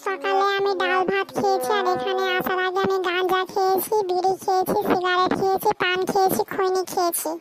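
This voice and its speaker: A cartoonish character voice speaks at a fairly slow pace. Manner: literal, rambling.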